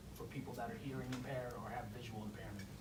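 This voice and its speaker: A man with an American accent at a very fast pace, ordinary pitch variation, audible room echo and noticeable background noise. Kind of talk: presentation.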